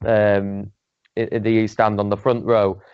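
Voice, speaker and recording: A man in a Yorkshire accent at a moderate pace. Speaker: football fan channel panelist. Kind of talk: casual chat. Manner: animated.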